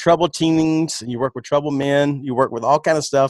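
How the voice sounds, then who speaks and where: With an American accent and an ordinary speaking voice, a man talks at a fairly quick pace and fairly high pitch, his intonation fairly even and the sound dry and close with no echo. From US East Coast. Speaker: podcast host. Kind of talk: casual podcast interview. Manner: rambling, repetitive questioning.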